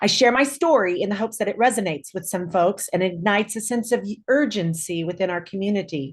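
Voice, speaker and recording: Speaking very fast with hardly any pauses, a woman with an American accent uses lively intonation. Her medium-pitched voice is somewhat breathy. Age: 60s. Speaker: clinical social worker. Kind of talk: prepared statement read aloud. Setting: video call.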